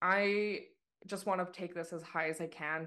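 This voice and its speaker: In a Canadian accent, a woman uses a normal speaking voice at a fairly low pitch with fairly even intonation over a quiet background. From Canada. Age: 30s. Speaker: skeleton racer. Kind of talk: interview.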